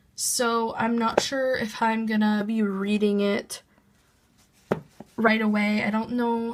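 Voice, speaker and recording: Somewhat breathy, a woman speaks at a fairly high pitch. Her intonation stays fairly even. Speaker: manga collector. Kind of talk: casual talk to camera.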